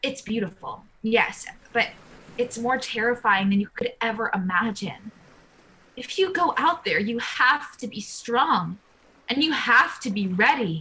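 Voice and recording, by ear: A woman puts on a character voice, fairly high in pitch, with a bright, sharp tone and a slightly husky edge. She moves at a fairly slow pace with lively intonation.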